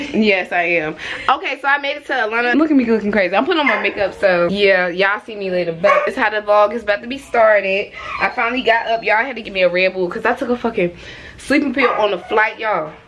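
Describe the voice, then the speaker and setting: Noticeable background noise sits under speech delivered at a very fast pace. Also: woman. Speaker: vlogger. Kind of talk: casual vlog chat. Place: home room. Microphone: phone near.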